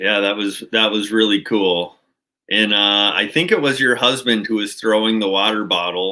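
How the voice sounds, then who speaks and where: A man with a Minnesotan accent, fairly low pitch, ordinary pitch variation and a moderate pace. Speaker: outdoors channel host. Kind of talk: livestream chat with viewers.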